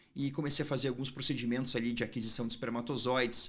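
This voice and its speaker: Someone talks at a very fast pace in a southern Brazilian accent. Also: man. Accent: southern Brazilian (gaúcho). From southern Brazil, Porto Alegre. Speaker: urologist, fertility doctor. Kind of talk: interview conversation.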